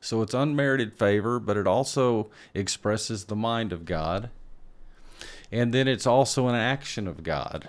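Using a plain, everyday voice, the man speaks at medium pitch and a moderate pace with ordinary pitch variation. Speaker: pastor. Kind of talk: teaching discussion.

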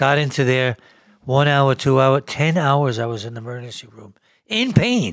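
The very clean recording, with its silent background, carries a man speaking at a medium pitch. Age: 70s. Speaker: cancer patient telling his story. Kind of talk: personal testimony.

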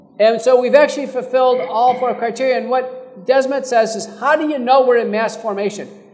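A man with an American accent and an extremely high pitch, fairly even intonation, a fairly quick pace, and noticeable background noise. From Texas, Fort Worth area. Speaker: physician. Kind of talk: live panel discussion.

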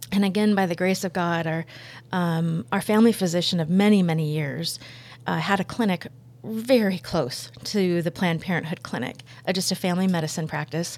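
A woman's plain, everyday voice, with ordinary pitch variation, at a fairly quick pace. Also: fairly low pitch for a woman, very clean recording, silent background. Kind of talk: testimony. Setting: studio.

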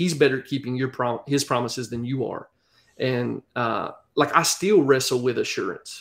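At a moderate pace, a man talks with a Southern US accent. His medium pitch has ordinary pitch variation. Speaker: pastor. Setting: video call.

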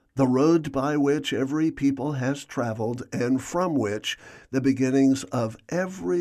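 The voice has a dark, mellow tone and lively intonation at a fairly slow pace. The background is quiet. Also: man. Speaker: radio commentator. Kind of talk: scripted literary essay narration on history and myth, rhetorical and sermon-like. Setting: studio. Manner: measured, formal, stately, with rich rolling cadence; earnest, rhetorical, building lists with relish.

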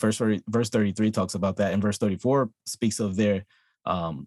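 An ordinary speaking voice from a man, fairly low in pitch, at a moderate pace with very even loudness. The sound is dry and close with no echo, over a quiet background. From Texas. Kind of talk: friendly theological debate.

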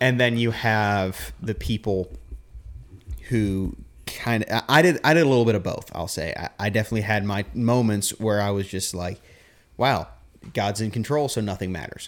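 On a very clean recording with a silent background, a man with a fairly low pitch and ordinary pitch variation speaks at a moderate pace, pausing long and often. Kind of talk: casual theological chat. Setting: home recording, handheld mic. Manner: soft-spoken.

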